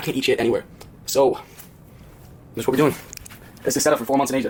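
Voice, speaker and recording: A man speaks in an animated tone. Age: 20s. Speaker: vlogger. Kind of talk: personal vlog monologue. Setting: apartment.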